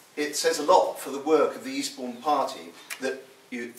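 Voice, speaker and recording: A man talks at a moderate pace, with noticeable background noise and audible room echo around him. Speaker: political speaker, writer and historian. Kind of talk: political speech at public meeting. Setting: hotel meeting room with audience.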